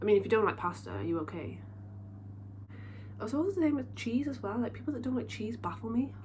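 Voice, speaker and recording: A woman with a slight Welsh accent talks very fast yet leaves long, frequent pauses, and the room echo is audible. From South Wales. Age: 20s. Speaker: beauty vlogger. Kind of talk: casual chat. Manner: chatty, informal.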